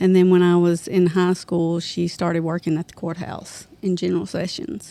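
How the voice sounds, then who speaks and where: In a Southern US accent, a woman with a fairly low pitch and a dark, mellow tone speaks in a monotone, flat way. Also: moderate pace. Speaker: podcast guest, mother of a host. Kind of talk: casual chat.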